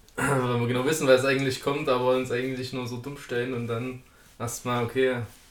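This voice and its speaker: Noticeable background noise surrounds a man speaking. He has a medium pitch and a fairly quick pace. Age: 20s. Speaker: podcast guest. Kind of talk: casual chat.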